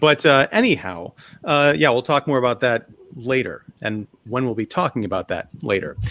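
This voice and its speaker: Lively intonation from a man at medium pitch and moderate pace, in a very clean recording with a silent background and a dry, close sound with no echo. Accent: Chicago. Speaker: podcast host. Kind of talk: casual chat.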